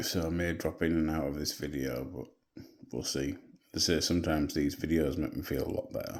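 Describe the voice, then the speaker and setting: A man with an English accent speaks quietly at a very deep, low pitch. His delivery has monotone, flat intonation and vocal fry. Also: fairly quick pace. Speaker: vlogger. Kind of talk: video diary. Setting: at home at night. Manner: quiet, hushed.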